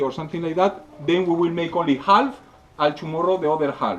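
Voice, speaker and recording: Noticeable background noise sits behind a man with a Spanish accent. He talks at a high pitch and a fairly quick pace. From Spain. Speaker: scale model painting instructor. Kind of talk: workshop demonstration. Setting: live audience at a convention. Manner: halting, many filler sounds.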